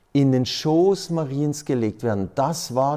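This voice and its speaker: This man has a dark, mellow tone. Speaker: priest. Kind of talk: sermon-like talk. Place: hall. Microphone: studio mic.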